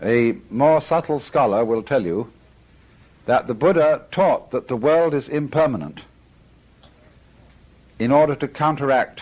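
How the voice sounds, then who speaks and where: Speaking with a British accent, a man goes at a fairly slow pace with ordinary pitch variation and long, frequent pauses. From Britain. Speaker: philosopher. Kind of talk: lecture.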